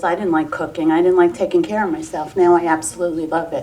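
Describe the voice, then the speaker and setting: The speech comes at a very fast pace with lively intonation over noticeable background noise. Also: woman. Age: 60s. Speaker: weight loss program client. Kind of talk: testimony. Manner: animated.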